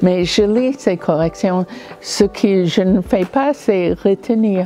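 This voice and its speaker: A woman talks at a very slow pace in a non-native accent. Her pitch is medium, and there is noticeable background noise. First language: not French (speaking French). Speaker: novelist. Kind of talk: interview testimony.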